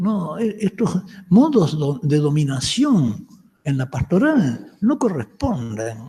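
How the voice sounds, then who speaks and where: Very slowly, a man speaks at a high pitch. His voice moves in very wide pitch swings. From Uruguay, Montevideo. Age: 70s. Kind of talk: lecture. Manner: halting, with false starts.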